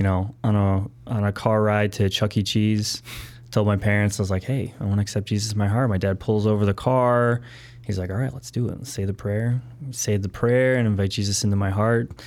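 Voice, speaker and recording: Here is a normal speaking voice, a man at a fairly low pitch. He goes at a fairly quick pace with fairly even intonation. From Wisconsin, Milwaukee area. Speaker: entrepreneur. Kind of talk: interview.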